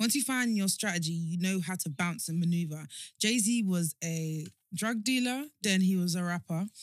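This woman has an unremarkable speaking voice, speaking at a moderate pace with medium pitch and ordinary pitch variation. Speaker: guest, founder of a women's network. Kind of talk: casual chat.

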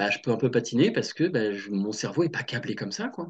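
Talking at a fairly quick pace, a man moves through very wide pitch swings. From western France, Loire-Atlantique (Nantes). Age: 30s. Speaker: career change coach. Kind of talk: casual interview.

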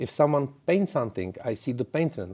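The voice has a dark, mellow tone. It speaks with a Czech accent. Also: man. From Czech Republic. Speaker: network engineer and community evangelist. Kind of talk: interview. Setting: studio. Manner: halting.

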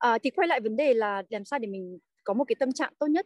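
A female voice at average speed, recorded dry and close without any echo. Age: 30s. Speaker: working mother of three. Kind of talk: podcast interview.

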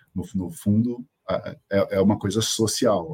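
With ordinary pitch variation, a man speaks in a somewhat breathy voice. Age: 50s. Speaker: company CEO. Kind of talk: interview. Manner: hesitant, many fillers.

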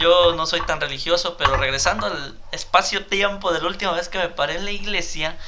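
A man with a Mexican accent speaks in a high voice at a fairly quick pace, with hardly any pauses. His intonation is fairly even, and the recording has audible room echo and noticeable background noise. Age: 30s. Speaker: podcast co-host. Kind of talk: casual chat.

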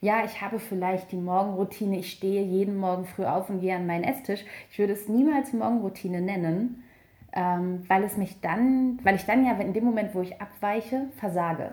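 This is a woman with an ordinary speaking voice at a medium pitch. She talks at a moderate pace with ordinary pitch variation. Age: 30s. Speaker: journalist and author. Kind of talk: interview.

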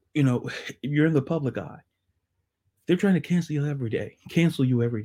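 A man speaks very fast in a dark, mellow, somewhat breathy voice, pitched fairly high with ordinary pitch variation. He leaves long, frequent pauses, and the recording is very clean with a silent background. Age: 30s. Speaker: sports podcast host. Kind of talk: solo podcast monologue. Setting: video podcast.

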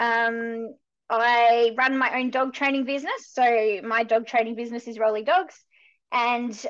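A woman speaks at a fairly slow pace with fairly even intonation. Her tone is fairly bright and her pitch fairly high.

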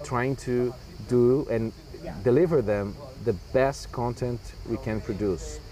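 Noticeable background noise sits under a man speaking at a medium pitch with ordinary pitch variation. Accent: Portuguese. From Brazil. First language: Portuguese. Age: young. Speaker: writer and translator. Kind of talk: interview. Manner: halting.

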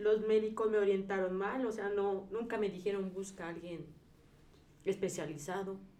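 In a room with audible echo, a woman talks at a moderate pace with medium pitch and fairly even intonation. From Mexico, Puebla. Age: 40s. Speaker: patient, teacher. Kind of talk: testimony.

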